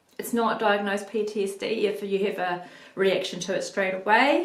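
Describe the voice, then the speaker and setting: With audible room echo, a woman with a New Zealand accent speaks in a medium pitch with ordinary pitch variation. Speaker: video blogger on mental health. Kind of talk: personal vlog monologue. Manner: halting, many ums.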